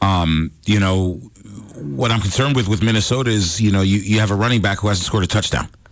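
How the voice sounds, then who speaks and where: Over noticeable background noise, a man with a fairly low pitch and ordinary pitch variation talks at a very fast pace with very even loudness. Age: 50s. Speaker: sports analyst. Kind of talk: casual chat. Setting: studio.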